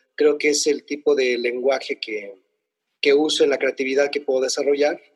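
A man speaks at a fairly quick pace with a dry, close sound and no echo. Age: 40s. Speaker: poet and cultural manager. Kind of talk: interview. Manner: halting.

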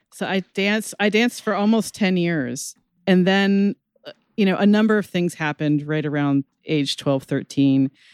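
In an unremarkable speaking voice, a woman talks at a moderate pace and medium pitch with lively intonation. The recording is very clean with a silent background and sounds dry and close, with no echo. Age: 50s. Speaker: podcast co-host. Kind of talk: casual chat.

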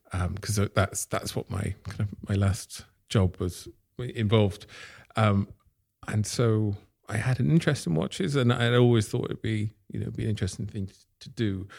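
The voice is somewhat breathy, at a moderate pace with ordinary pitch variation. The recording is very clean, with a silent background. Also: man, fairly low pitch for a man. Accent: English. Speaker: watch company founder. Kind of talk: interview. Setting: in person at workshop. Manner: halting.

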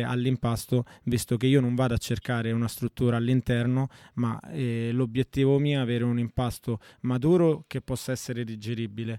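This man's medium-pitched voice has a dark, mellow tone and a monotone, flat delivery at a moderate pace, recorded dry and close with no echo. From Italy, born and raised there (Rome area). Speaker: pizza maker. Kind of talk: interview.

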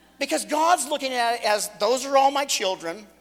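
Lively intonation from a man, noticeable noise in the background. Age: 40s. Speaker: guest preacher. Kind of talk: sermon. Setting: church.

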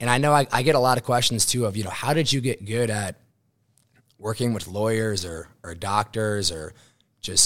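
With a fairly low pitch, a man speaks at a moderate pace with ordinary pitch variation in an unremarkable speaking voice, on a very clean recording with a silent background. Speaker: insurance sales agent. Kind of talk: interview.

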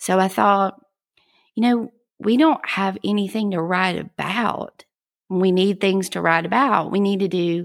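Recorded very cleanly, dry and close with no echo over a silent background, a woman with a Southern US accent speaks fairly slowly at medium pitch with ordinary pitch variation. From South Georgia, US South. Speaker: podcast host, educator. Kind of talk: podcast monologue, scripted-style intro. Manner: friendly, upbeat.

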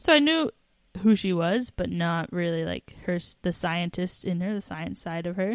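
In a very clean recording with a silent background and a dry, close sound with no echo, a woman talks in a normal speaking voice at a moderate pace with ordinary pitch variation. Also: fairly low pitch for a woman. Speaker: podcast co-host. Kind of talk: casual banter between co-hosts, podcast. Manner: playful, jokey.

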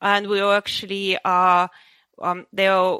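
The tone is bright and sharp. Each word comes at a very slow pace. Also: woman. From Ukraine. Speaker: software professional. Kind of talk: casual interview. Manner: halting, many fillers.

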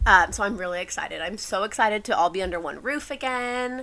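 A woman speaks with a bright, sharp tone, an American accent and ordinary pitch variation. The recording is very clean, with a silent background. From Texas, San Antonio. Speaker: podcast host. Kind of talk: casual chat.

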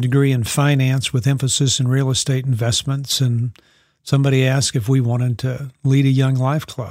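In a Southern US accent, a man with a somewhat breathy voice speaks at a moderate pace and a medium pitch. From US South (Texas, Louisiana, New Orleans). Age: 60s. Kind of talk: interview conversation.

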